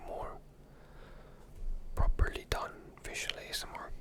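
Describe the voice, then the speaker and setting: Someone whispers throughout. Background noise is noticeable. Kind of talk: casual talk to camera, ASMR close whispers. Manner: close whispered, relaxing.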